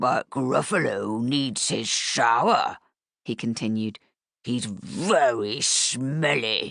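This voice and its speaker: A man growls in a put-on character voice at a medium pitch. He speaks at a very slow pace with lively intonation. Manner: playful, teasing the girls.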